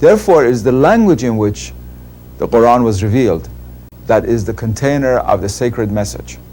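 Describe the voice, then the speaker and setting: A man with a Persian accent speaks at a fairly quick pace. His pitch sits in the medium range with ordinary variation. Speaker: Islamic scholar. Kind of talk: interview.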